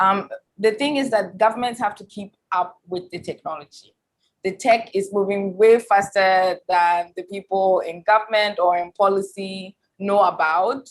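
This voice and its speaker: A woman speaks at a medium pitch with a strong Ghanaian accent and fairly even intonation. Her loudness swings widely. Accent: thick Ghanaian. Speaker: tech expert and academic. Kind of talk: panel discussion. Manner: many fillers and repetitions.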